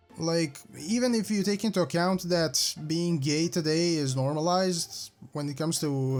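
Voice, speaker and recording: This man has a non-native accent and a fairly high pitch, with ordinary pitch variation. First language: not English. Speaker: commentary youtuber. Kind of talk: casual video commentary. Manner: halting, with repeated words.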